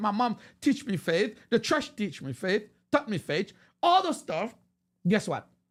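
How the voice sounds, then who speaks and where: The voice has a Haitian accent and a fairly slow pace. The recording is very clean with a silent background. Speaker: preacher. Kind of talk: sermon. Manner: halting.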